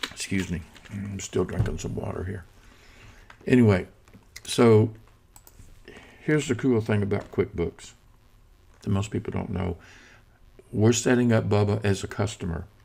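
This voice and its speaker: A man's fairly low, somewhat breathy voice at a moderate pace, with ordinary pitch variation and long, frequent pauses. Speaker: software tutorial instructor. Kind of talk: tutorial. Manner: casual, with fillers.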